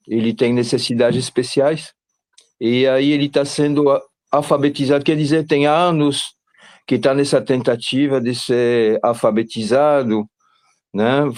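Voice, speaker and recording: A man with fairly even intonation. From Belgium. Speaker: parent of a student. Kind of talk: testimony. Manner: halting.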